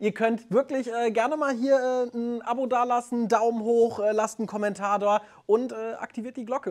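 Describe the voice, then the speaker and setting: Extremely high pitch from a man at a moderate pace, over a quiet background. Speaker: radio host; radio host interviewer. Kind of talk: interview; channel outro. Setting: studio.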